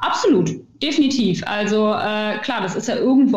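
The voice has ordinary pitch variation, and there is noticeable background noise. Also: woman. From Ruhr area, Germany. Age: 20s. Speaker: start-up founder. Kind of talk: interview. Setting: video call.

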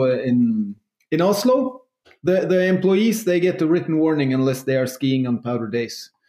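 A man speaks in a normal speaking voice at a moderate pace. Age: 40s. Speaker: entrepreneur. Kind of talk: interview.

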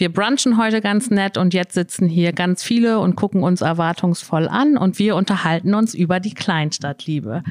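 In a plain, everyday voice, the speaker keeps a moderate pace with hardly any pauses, ordinary pitch variation, and very even loudness. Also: woman, medium pitch for a woman. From northwestern Germany (Emsland). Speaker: business network organizer, guest interviewer. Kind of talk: live interview. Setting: live recording in a shop with an audience.

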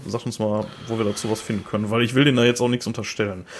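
Speaking with a strong Ruhr accent, a man uses a medium pitch and fairly even intonation. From Ruhr area, Germany. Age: 30s. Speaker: metal podcast co-host. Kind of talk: casual chat. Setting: remote recording over headphones.

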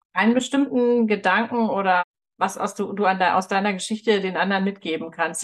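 A woman with an ordinary speaking voice talks at a moderate pace, her medium pitch carried by fairly even intonation. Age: 40s. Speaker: podcast host. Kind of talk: interview.

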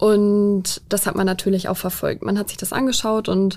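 This woman has a normal speaking voice at medium pitch and talks at a moderate pace. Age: 20s. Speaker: police officer. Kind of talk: interview. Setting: studio.

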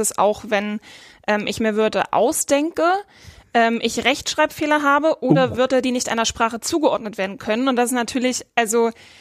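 In a very clean recording with a silent background, a woman speaks at a high pitch with ordinary pitch variation. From rural Germany. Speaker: marketing editor. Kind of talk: casual chat. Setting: studio.

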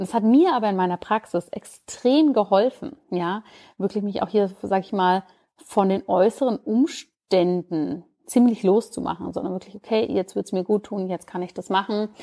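With a dark, mellow tone, a woman talks at a moderate pace with ordinary pitch variation, and the sound is dry and close with no echo. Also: medium pitch for a woman. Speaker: podcast host, doctor and Ayurveda expert. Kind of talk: casual solo podcast monologue.

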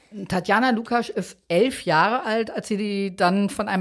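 A woman talks at a fairly slow pace with ordinary pitch variation in a very clean recording with a silent background. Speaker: true crime podcast host, journalist. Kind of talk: true crime storytelling.

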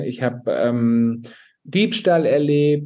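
This man's voice sits fairly high for a man and has a dark, mellow tone. His pitch moves in an ordinary way. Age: 40s. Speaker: flight attendant and influencer. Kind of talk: personal testimony.

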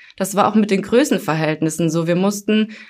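Lively in intonation, a woman talks at a medium pitch and a fairly quick pace. Background noise is noticeable. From Germany, Hunsrück. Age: 20s. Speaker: call center customer service employee. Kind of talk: casual interview. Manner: hesitant, many fillers.

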